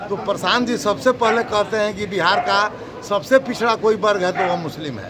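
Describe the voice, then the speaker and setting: Against noticeable background noise, a man with a high pitch raises and projects his voice, with ordinary pitch variation. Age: 60s. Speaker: lawyer. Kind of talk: interview. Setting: at home.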